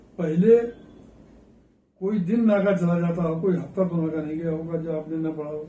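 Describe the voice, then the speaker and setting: A man with a high pitch and a dark, mellow tone speaks in fairly even intonation, with audible room echo around him. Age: 80s+. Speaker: former member of parliament, politician. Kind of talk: interview.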